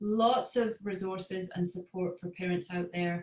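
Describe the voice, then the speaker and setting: Speech in a Scottish accent moves at a moderate pace with fairly even intonation. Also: woman. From Scotland. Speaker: parent coach. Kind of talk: webinar talk.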